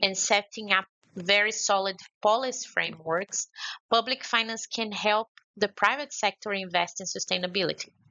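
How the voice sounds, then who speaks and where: The speech comes in a Brazilian accent at a moderate pace. Intonation stays fairly even. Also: woman. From Brazil, Belo Horizonte. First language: Portuguese. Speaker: conference speaker. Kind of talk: prepared remarks. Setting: remote contribution to a conference session. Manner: halting.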